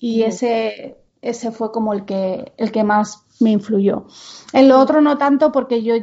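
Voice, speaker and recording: A woman speaks at a fairly high pitch. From Spain, Menorca. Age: 40s. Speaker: podcast co-host, homeschooling mother. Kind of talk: casual chat.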